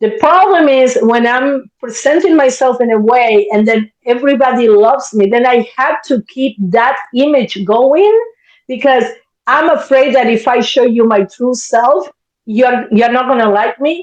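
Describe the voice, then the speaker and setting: The speech comes at a fairly slow pace in a Spanish accent. Pitch varies in an ordinary way. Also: woman, high pitch for a woman. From Spanish-speaking country. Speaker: therapist. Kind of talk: casual chat.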